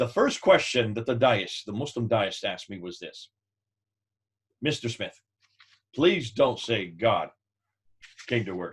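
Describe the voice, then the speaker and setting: A man talks with a medium pitch and a somewhat breathy voice. His tone is animated. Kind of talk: teaching talk with anecdote. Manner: fast.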